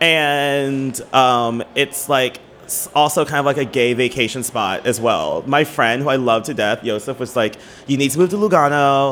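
Speaking with ordinary pitch variation at a fairly high pitch, a man uses a plain, everyday voice. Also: moderate pace. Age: 30s. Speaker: drag performer. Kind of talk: casual chat.

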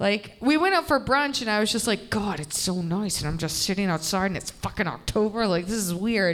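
A woman speaks at a fairly quick pace with hardly any pauses, her medium-pitched delivery full of lively intonation. It is an unremarkable speaking voice. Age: 30s. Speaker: comedian. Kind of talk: casual chat. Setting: stage with audience.

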